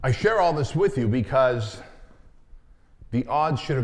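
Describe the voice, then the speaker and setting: A somewhat breathy man at a moderate pace. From Santa Ana, California (from age six, born in Soviet Union). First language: Armenian or Russian (Soviet Union). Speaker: entrepreneur and business coach. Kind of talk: keynote talk.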